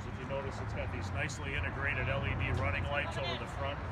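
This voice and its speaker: A man rushes along at a very fast pace while loud background noise fills the clip. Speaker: guest. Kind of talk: interview answer. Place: street. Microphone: phone near.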